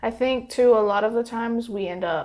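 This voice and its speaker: A woman with a Southern US accent talks at a fairly quick pace, her pitch varying in an ordinary way. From Alabama, Chambers County. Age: 20s. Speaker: political candidate. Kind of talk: interview.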